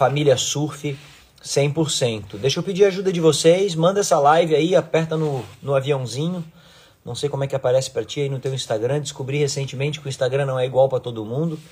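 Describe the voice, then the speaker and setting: Somewhat breathy and fairly high in pitch, a man talks at a fairly quick pace. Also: ordinary pitch variation. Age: 40s. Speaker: surf coach and surfboard designer; surf coach. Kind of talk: casual live stream talk to followers. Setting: Instagram live video stream. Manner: animated. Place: home room. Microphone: phone near.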